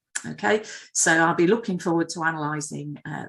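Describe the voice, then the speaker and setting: A woman talks with a Yorkshire accent. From northern England, Leeds, Yorkshire. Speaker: planetary scientist. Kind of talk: public lecture. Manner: hesitant, many fillers.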